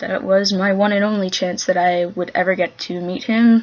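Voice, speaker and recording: A woman's moderately paced speech, intonation mostly level, with clear background noise behind it. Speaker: fan paying tribute. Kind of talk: personal tribute monologue. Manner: halting, stuttering.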